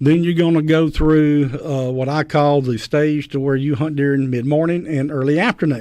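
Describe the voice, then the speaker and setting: A man talks in a Mississippi accent. His fairly high pitch holds a fairly even intonation. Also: moderate pace. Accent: US Southern (Mississippi). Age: 60s. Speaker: champion turkey caller. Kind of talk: radio interview. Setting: radio studio.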